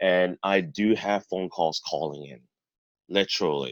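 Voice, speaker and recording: A man at a fairly slow pace, with a dry, close sound and no echo. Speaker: public speaking trainer. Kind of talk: training talk. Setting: video call.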